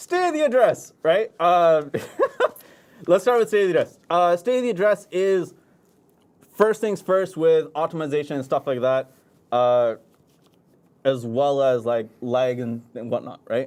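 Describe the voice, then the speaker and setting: Mumbling at a fairly slow pace, a man speaks in a high pitch with very wide pitch swings and long, frequent pauses. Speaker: game community manager. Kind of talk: livestream game update discussion.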